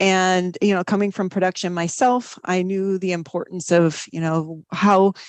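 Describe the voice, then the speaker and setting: A woman's medium-pitched voice with a slight Wisconsin accent, dry and close with no echo, over a quiet background. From US Midwest, Wisconsin. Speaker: viticulture professor. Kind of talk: podcast interview.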